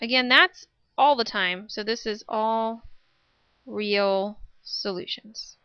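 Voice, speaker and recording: This is a woman's voice. She speaks at a very slow pace. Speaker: math teacher. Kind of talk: tutorial.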